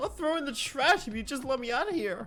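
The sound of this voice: Over faint music in the background, a man puts on a character voice at an extremely high pitch, talking at a fairly quick pace with lively intonation and a bright, sharp tone.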